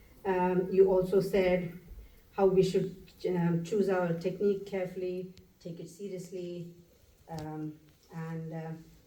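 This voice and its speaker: A woman's medium-pitched, dark and mellow voice, fairly slow and monotone, with long, frequent pauses, big swings in loudness and audible room echo. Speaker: retreat participant. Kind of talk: question from audience. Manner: halting with fillers.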